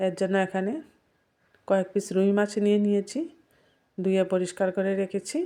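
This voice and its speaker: A woman speaks at medium pitch in a dark, mellow tone, her intonation fairly even and her loudness very even. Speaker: cooking channel host. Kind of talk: cooking tutorial.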